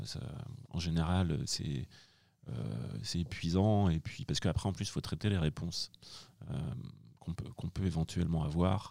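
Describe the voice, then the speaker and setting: A man speaks fairly slowly with long, frequent pauses, his very deep, low voice dark and mellow with vocal fry yet lively in intonation. The recording is very clean, with a silent background. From France, Angers. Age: 40s. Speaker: director of studies at a business school. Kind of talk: interview. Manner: hesitant, many repetitions.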